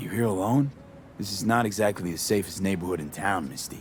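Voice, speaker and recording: Putting on a raspy character voice, a man speaks fairly quickly and fairly low, with ordinary pitch variation, big swings in loudness and clear background noise. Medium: video game. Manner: low-key, clipped, casual.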